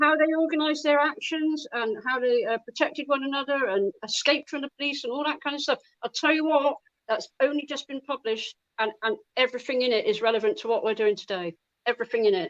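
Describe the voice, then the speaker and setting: Very fast speech with lively intonation comes in an English accent. The sound is dry and close, with no echo. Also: woman, high pitch for a woman. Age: 60s. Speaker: comic artist. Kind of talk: casual chat.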